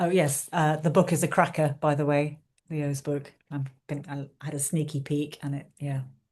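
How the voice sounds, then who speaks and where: A woman's very deep, low voice, somewhat breathy, in a monotone, flat intonation. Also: moderate pace. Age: 60s. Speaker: menopause therapist and facilitator. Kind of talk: online workshop introduction.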